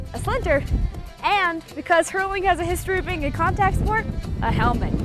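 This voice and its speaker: Music sits in the background. The speech runs at a fairly quick pace. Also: woman. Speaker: TV news reporter and anchor. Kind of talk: TV news package narration.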